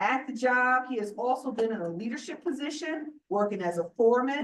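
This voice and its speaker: Loud and high-pitched, a woman speaks at a moderate pace with lively intonation amid audible room echo. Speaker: borough council member. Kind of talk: award presentation speech. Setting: council meeting room.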